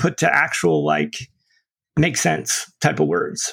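Fairly slow speech comes with an American accent. The audio is very clean, and the background is silent. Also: man. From upstate New York. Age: 50s. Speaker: pastor and recovery advocate. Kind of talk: testimony. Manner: casual, halting with repeated words.

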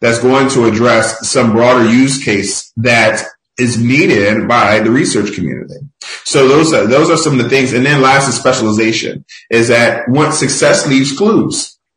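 A man with an American accent talks at a medium pitch and a moderate pace. His pitch varies in an ordinary way, and the room echo is audible. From Philadelphia, US. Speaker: tech industry executive. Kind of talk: podcast interview.

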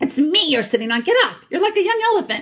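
Putting on a character voice, a woman rattles off her lines at a very fast pace in an angry tone, her extremely high pitch leaping through very wide swings.

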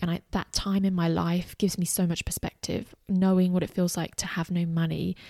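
A woman speaks at a moderate pace with a fairly low pitch and a dark, mellow tone, her intonation monotone and flat. The recording is very clean with a silent background and a dry, close sound with no echo. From Australia. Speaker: podcast host and former teacher running online business. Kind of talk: personal monologue.

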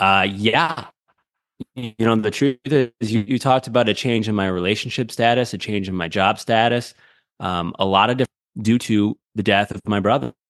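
This is a man with a normal speaking voice and a fairly low pitch, talking at a moderate pace. The sound is dry and close, with no echo. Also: ordinary pitch variation. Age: 30s. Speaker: radio producer and show host. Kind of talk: casual chat.

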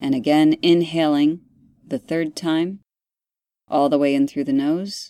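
A woman speaks at a fairly slow pace with long, frequent pauses, her pitch very deep and low. Her tone is calm and soothing, and her intonation stays fairly even. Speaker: podcast host and meditation guide. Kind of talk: guided meditation. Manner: slow, calm, soothing, deliberately paced breathing instructions; gentle, instructive.

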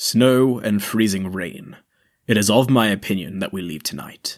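Putting on a character voice, a man talks at a moderate pace with a fairly low pitch and ordinary pitch variation. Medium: audio drama. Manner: formal, clipped.

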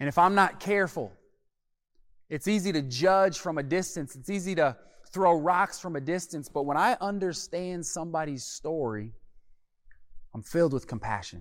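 The speaker talks at a moderate pace with an American accent, lively intonation and an animated tone, leaving long, frequent pauses. The recording is very clean, with a silent background. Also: man, high pitch for a man. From US Midwest, Omaha, Nebraska. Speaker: pastor. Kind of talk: sermon. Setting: gymnasium.

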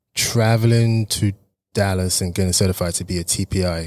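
A man with an English accent speaks at a fairly low pitch and with fairly even intonation. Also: very clean recording, silent background. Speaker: personal trainer. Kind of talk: casual interview.

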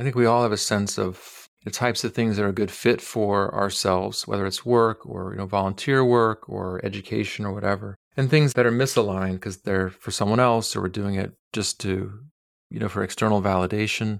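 An ordinary speaking voice talks at a fairly quick pace in a very clean recording with a silent background. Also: man, fairly low pitch for a man, fairly even intonation. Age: 40s. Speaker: clinical psychologist. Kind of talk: casual interview.

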